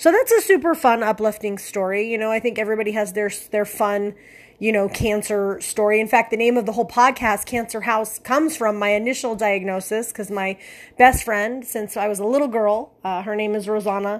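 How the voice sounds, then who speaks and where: Fairly quick, animated speech on a very clean recording with a silent background. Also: woman, fairly high pitch for a woman. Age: 40s. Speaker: podcast host with cancer. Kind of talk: casual monologue. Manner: animated, rambling with fillers.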